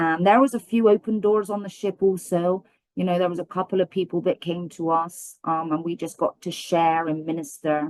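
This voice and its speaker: With a strong British accent, a woman speaks at a moderate pace with hardly any pauses, her fairly low pitch showing ordinary variation. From Britain. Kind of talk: testimony.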